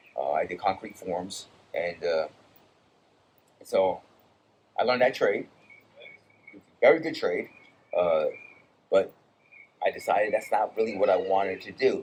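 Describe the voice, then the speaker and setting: Moderately paced speech from a man, broken by long, frequent pauses. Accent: American. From Brazil, later New York and South Florida. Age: 50s. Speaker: war veteran. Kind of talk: casual chat. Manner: halting, many repeats and restarts.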